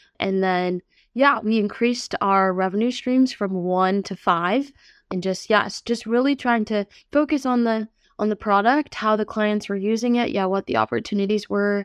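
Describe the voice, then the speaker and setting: In an American accent, a woman of medium pitch speaks at a moderate pace in an ordinary speaking voice with ordinary pitch variation, the sound dry and close with no echo over a quiet background. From New York. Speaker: tech startup CEO. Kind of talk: interview.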